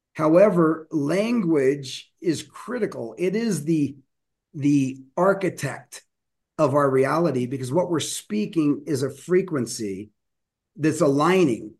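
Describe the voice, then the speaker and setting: A man with an American accent and an ordinary speaking voice, fairly high in pitch, with lively intonation. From US, Denver. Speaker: professional speaker and communication coach. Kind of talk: interview conversation.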